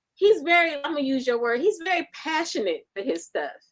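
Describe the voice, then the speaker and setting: Raised and projected, a woman's high-pitched voice has a bright, sharp tone. She sounds animated and speaks at a moderate pace. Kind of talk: casual chat.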